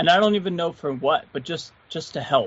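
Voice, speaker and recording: A man talks in a Philadelphia accent with lively intonation. His tone is enthusiastic and relaxed. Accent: Philadelphia-area American. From Philadelphia area, US. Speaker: guitarist YouTuber. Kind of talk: casual podcast interview. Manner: slow, stumbles on words; enthusiastic, relaxed.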